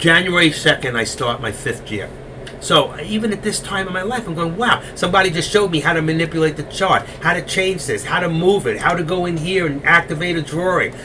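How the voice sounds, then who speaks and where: Over noticeable background noise, a man talks fairly quickly in a New York accent. His pitch is high and varies in an ordinary way. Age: 60s. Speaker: stock trading educator. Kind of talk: live trading stream chat.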